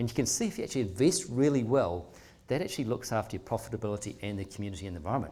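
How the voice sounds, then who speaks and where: Here a man talks with a New Zealand accent and a dark, mellow tone. His intonation is lively, and the recording is very clean with a silent background. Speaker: philanthropic trust leader. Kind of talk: public talk. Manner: fast; animated.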